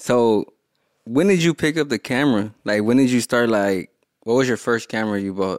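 In a normal speaking voice, a man speaks at medium pitch and a moderate pace with ordinary pitch variation, in a dry, close sound with no echo. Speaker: podcast host. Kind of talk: casual podcast interview.

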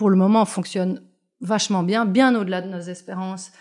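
A woman at medium pitch keeps her intonation fairly even in a very clean recording with a silent background. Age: 40s. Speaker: gallery owner. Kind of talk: interview conversation. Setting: on location in her art space. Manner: halting, many hesitations.

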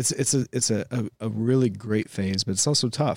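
A man with a plain, everyday voice speaks at a moderate pace with ordinary pitch variation, recorded very cleanly against a silent background with a dry, close sound and no echo. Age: 40s. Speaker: podcast host. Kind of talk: casual chat. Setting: studio.

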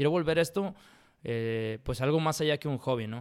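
A man with a Mexican accent speaks at a fairly quick pace, medium pitch and ordinary pitch variation. The recording is very clean, with a silent background. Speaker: professional poker player and architect. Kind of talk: casual interview.

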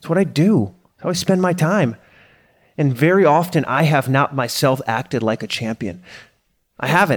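A man with a fairly high pitch speaks at a moderate pace, his animated tone and lively intonation edged with vocal fry. The recording is very clean with a silent background. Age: 30s. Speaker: podcast host and coach. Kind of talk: solo monologue podcast.

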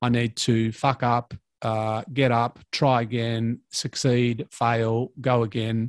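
Speaking at a very slow pace, a man with an Australian accent holds a medium pitch in a flat monotone, with a dry, close sound and no echo. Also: quiet background. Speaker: fitness entrepreneur and podcaster. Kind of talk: casual chat.

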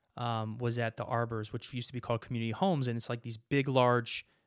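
With an American accent, a man speaks in an ordinary speaking voice at medium pitch, fairly quick pace and fairly even intonation. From California Central Valley (Modesto). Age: 30s. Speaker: police officer and ministry worker. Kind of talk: interview testimony.

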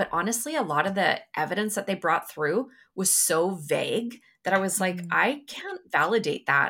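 Her tone bright and sharp, a woman speaks with lively intonation at a fairly slow pace. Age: 40s. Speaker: psychic medium. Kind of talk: casual chat.

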